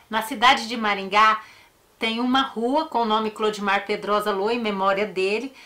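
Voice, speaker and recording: A woman's fairly high voice at a moderate pace, with fairly even intonation and noticeable background noise. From Paraná, Brazil, raised in a Northeastern family. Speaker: true crime YouTuber. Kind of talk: casual personal talk to viewers; narration of a true crime case.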